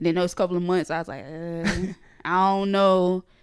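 A woman speaks with a Geechee accent. The recording is very clean, with a silent background. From northeast Florida, near Jacksonville. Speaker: blogger and website founder. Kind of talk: casual interview. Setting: studio.

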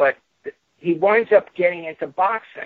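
A man with a Brooklyn accent at a moderate pace. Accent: New York (Brooklyn). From Brooklyn, New York. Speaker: author. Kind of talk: interview. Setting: radio studio. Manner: halting.

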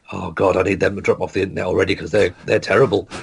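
Somewhat breathy, fairly low-pitched speech from a man, its pitch variation ordinary. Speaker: comedian. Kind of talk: casual chat. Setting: video call.

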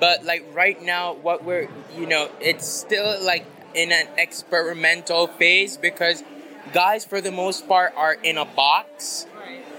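Noticeable background noise accompanies a man speaking at a very slow pace, his high pitch showing ordinary variation. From Belize. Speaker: fashion designer. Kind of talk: interview.

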